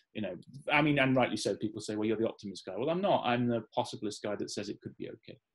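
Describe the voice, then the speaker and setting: Very fast speech comes from a man with a Midlands accent. His pitch is medium and its variation ordinary. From English Midlands, Staffordshire. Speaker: futurist and author. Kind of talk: interview conversation.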